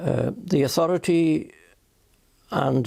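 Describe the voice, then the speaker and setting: A man's dark, mellow voice in a Welsh accent with lively intonation, on a very clean recording with a silent background. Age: 90s; old. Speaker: retired minister. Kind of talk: interview answer.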